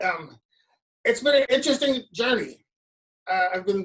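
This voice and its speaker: A plain, everyday voice, moderately paced, with ordinary pitch variation. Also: woman. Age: 60s. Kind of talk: award acceptance speech. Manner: many filler words.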